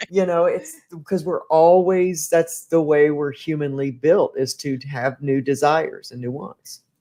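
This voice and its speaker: A woman with a North Carolina accent, a very deep, low pitch and a dark, mellow tone, at a fairly slow pace with big swings in loudness. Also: ordinary pitch variation. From US South, North Carolina. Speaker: podcast host. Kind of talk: casual interview chat. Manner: animated.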